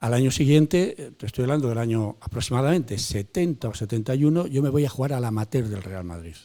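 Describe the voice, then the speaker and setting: On a very clean recording with a silent background, a man with a dark, mellow tone and medium pitch talks at a very fast pace with hardly any pauses, lively intonation and big swings in loudness. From Spain, León province. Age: 70s. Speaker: retired football goalkeeper. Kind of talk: interview. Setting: in a bar.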